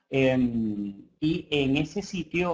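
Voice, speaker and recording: A man with a Venezuelan accent and a fairly high pitch, with ordinary pitch variation. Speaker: coach and humorist. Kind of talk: webinar lecture. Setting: online class. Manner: halting, many fillers.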